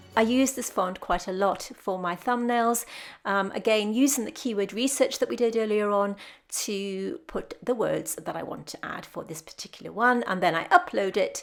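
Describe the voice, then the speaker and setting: A woman with a British accent and big swings in loudness, on a very clean recording with a silent background. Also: fairly high pitch for a woman, ordinary pitch variation, moderate pace. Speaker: artist and art tutorial YouTuber. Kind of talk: tutorial voiceover narration. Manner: stumbles over words; smiling while talking.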